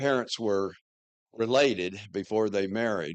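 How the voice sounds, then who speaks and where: Over a quiet background, a man with a Southern US accent speaks at a fairly slow pace, his fairly low pitch showing ordinary variation. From US South, western North Carolina. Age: 70s. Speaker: church member telling his life story. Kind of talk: personal talk to congregation. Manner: halting, many fillers.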